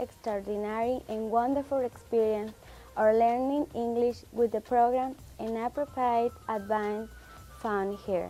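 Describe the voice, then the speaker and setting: A woman speaks at a fairly slow pace in a fairly high pitch. Her tone is dark and mellow, and her intonation is fairly even. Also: big swings in loudness. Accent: Spanish. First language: Spanish. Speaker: ESL student. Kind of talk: testimonial.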